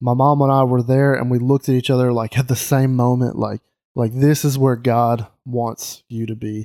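A man with a Southern US accent, dark and mellow in tone, monotone and flat, at a moderate pace. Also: medium pitch for a man. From US South, Mississippi. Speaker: podcast host. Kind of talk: casual chat.

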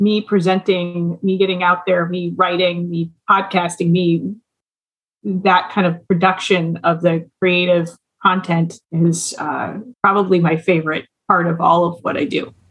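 In an Upper Midwest accent, a woman with a fairly low pitch speaks at a fairly slow pace. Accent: Upper Midwest American. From US Midwest, Duluth, Minnesota. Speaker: lawyer and business owner. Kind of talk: interview.

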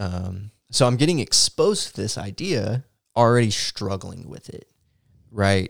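A plain, everyday voice from a man, fairly low in pitch, with lively intonation and big swings in loudness, dry and close with no echo, in a very clean recording with a silent background. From Texas. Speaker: church podcast co-host. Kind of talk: casual chat and personal testimony.

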